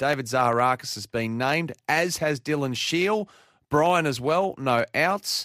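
A man speaks with an Australian accent and ordinary pitch variation. The sound is dry and close, with no echo. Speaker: sports radio host. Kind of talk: sports preview chat. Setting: radio studio.

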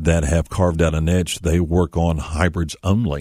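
In a very clean recording with a silent background, a man with an American accent speaks in a very deep, low pitch, his dark, mellow tone held to a monotone, flat intonation. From Kentucky, small town. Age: 50s. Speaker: auto repair expert. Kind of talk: radio interview.

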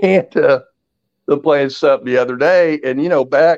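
An unremarkable speaking voice from a man with an American accent, fairly high in pitch, at a moderate pace, dry and close with no echo. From Indiana (West Lafayette). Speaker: podcast guest, sports commentator. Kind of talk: casual chat.

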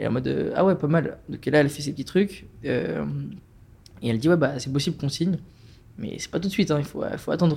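A man with a fairly high voice and vocal fry talks at a fairly quick pace with ordinary pitch variation, leaving long, frequent pauses. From France, Strasbourg. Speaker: climate activist. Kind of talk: casual chat.

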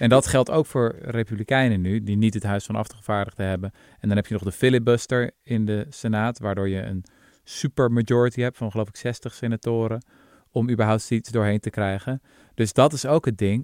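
In a normal speaking voice, a man talks at a fairly quick pace and medium pitch with fairly even intonation, recorded dry and close with no echo on a very clean track with a silent background. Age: 30s. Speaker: podcast host, historian. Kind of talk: casual chat.

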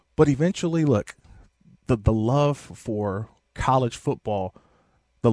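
A man with an American accent talks at a fairly slow pace, his medium-pitched voice dark and mellow in tone. The recording is very clean with a silent background, and the sound is dry and close with no echo. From Oakland, California. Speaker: radio host and former NFL player. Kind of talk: sports radio talk show. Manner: animated.

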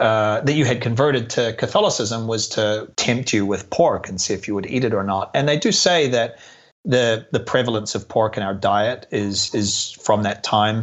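Medium pitch, ordinary pitch variation, a moderate pace and an ordinary speaking voice from a man. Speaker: YouTube travel creator and tour company founder. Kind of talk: casual interview chat.

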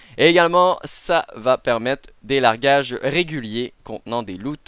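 The recording is very clean with a silent background, its sound dry and close with no echo. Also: man. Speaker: gaming podcast host and video creator. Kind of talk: news reading; casual panel discussion. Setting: live-streamed studio recording.

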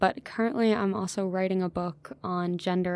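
On a very clean recording with a silent background, a woman with an American accent uses a normal speaking voice at medium pitch and a fairly quick pace. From US South, Georgia (near Augusta). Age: 20s. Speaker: researcher and author on security in Africa. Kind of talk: interview conversation.

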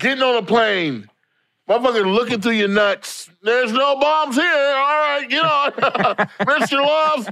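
On a very clean recording with a silent background, a man with an American accent speaks in an extremely high, bright, sharp, raised and projected voice at a fairly slow pace, with ordinary pitch variation and very even loudness. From US, San Diego. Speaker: comedian. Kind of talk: casual chat.

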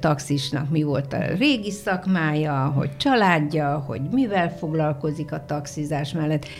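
Over noticeable background noise, a woman with a very deep, low pitch and lively intonation talks at a moderate pace with hardly any pauses. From Hungary, Szolnok area. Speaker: former TV announcer. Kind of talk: casual chat. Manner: clear trained diction.

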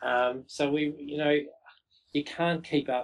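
Speaking with an Australian accent, a man keeps a fairly slow pace and fairly even intonation. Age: 40s. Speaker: brewery co-founder. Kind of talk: interview.

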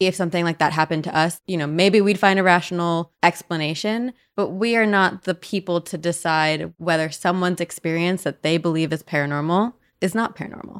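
In a plain, everyday voice, a woman with an American accent talks at a fairly quick pace with hardly any pauses, her fairly low pitch showing ordinary variation, on a very clean, silent-background recording that sounds dry and close with no echo. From US Northeast (New Jersey). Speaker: paranormal podcast host. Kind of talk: casual chat.

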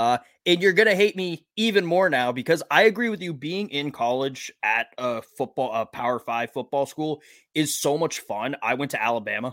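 A man with an American accent speaks in a fairly high pitch with very wide pitch swings, heard in a very clean recording with a silent background. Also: moderate pace, dry, close sound with no echo. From Massachusetts. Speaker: podcast host. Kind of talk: casual chat.

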